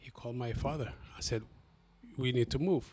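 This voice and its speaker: A man speaks with a Somali accent. His pitch is medium. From Somalia, then Kenya refugee camp, raised in Columbus, Ohio. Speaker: city council candidate. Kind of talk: interview. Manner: halting, many repeats and fillers.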